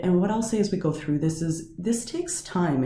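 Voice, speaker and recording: Audible room echo and noticeable background noise surround a woman's voice. She speaks at a fairly quick pace with ordinary pitch variation. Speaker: teacher of coaching and counselling. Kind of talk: lecture. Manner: varied intonation, goes up and down.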